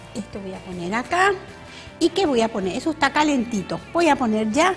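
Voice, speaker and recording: A woman speaks with a high pitch. Faint music plays in the background. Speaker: TV cooking show host. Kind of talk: tutorial. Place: studio. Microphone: lapel.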